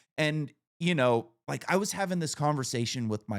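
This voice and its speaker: Very wide pitch swings and vocal fry in a male voice. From Northern California. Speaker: podcast host. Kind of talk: casual chat.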